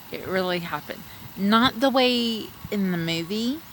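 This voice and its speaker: A woman with a Texan accent talks at a very slow pace. Her pitch variation is ordinary, and there is noticeable background noise. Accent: Texan, light twang. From Texas. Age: 40s. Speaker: streamer. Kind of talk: casual chat. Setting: outdoors.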